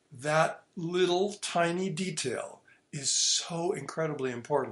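A man speaks with an ordinary speaking voice at a fairly high pitch. His pace is fairly slow. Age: 60s. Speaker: classical guitarist and teacher. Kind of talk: interview. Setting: remote call.

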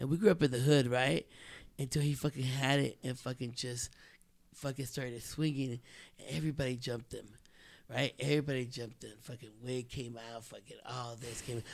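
In an ordinary speaking voice, a man talks at a medium pitch with an American accent. His intonation stays fairly even while his loudness swings widely. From South Central Los Angeles, Mexican family. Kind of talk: casual chat. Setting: studio.

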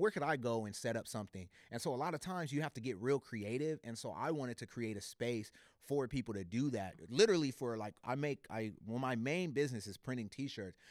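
Here is a man with an unremarkable speaking voice and an American accent, pitched in the medium range. He talks at a fairly quick pace with lively intonation, and the sound is dry and close with no echo. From California (born Los Angeles, raised San Jose). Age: 30s. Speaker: entrepreneur. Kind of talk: casual chat.

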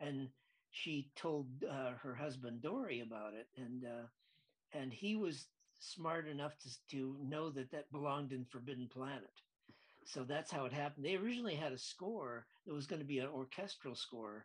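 He speaks with an American accent and has an unremarkable speaking voice. His pitch is fairly high, with ordinary variation, and his pace is moderate. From US Midwest, Lansing, Michigan. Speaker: film director. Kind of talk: interview.

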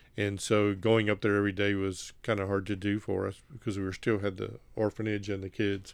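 In a Southern US accent, the speaker talks at a fairly quick pace in a flat monotone over a quiet background. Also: man, fairly low pitch for a man. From Mississippi. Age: 60s. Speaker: former missionary, nonprofit executive director. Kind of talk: testimony. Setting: on-location recording.

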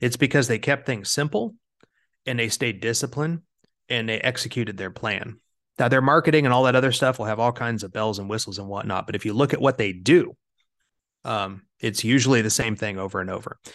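Fairly quick speech from a man with an American accent, medium pitch and ordinary pitch variation, over a quiet background. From Kansas, US Midwest. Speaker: fund manager, investment officer. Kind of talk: interview.

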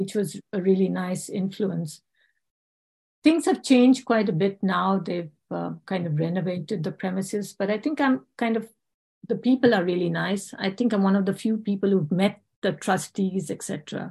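A moderate pace, ordinary pitch variation, a somewhat breathy quality and a dark, mellow tone. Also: woman, medium pitch for a woman. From India and England, born in South Africa. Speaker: homeopath. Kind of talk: interview.

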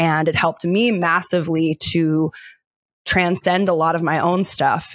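In a very clean recording with a silent background, a woman with an unremarkable speaking voice talks at a fairly low pitch with ordinary pitch variation, the sound dry and close with no echo. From US, Delaware. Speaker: life coach. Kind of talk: guided meditation; interview.

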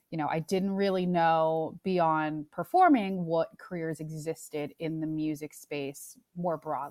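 On a very clean recording with a silent background and a dry, close sound with no echo, a woman with a plain, everyday voice speaks at a fairly slow pace in a fairly low pitch, with fairly even intonation and hardly any pauses. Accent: American. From New York. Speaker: music industry executive. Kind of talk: interview.

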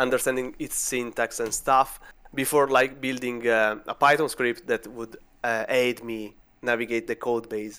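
The man's pitch is medium and his tone bright and sharp. He speaks at a fairly slow pace with monotone, flat intonation. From Italy. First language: Italian. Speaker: vulnerability researcher. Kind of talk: casual interview.

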